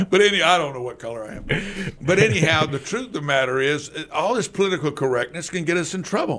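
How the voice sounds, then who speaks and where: A man with an American accent talks at a very fast pace and fairly high pitch, with lively intonation. His loudness swings widely, and there is noticeable background noise. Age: 60s. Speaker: city council member. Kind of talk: radio interview. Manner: halting.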